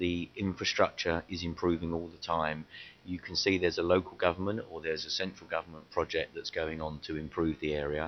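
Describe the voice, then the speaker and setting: A man talks at a fairly quick pace in a very deep, low pitch. His intonation is monotone and flat. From East London. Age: 50s. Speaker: property sales and marketing director. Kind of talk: interview.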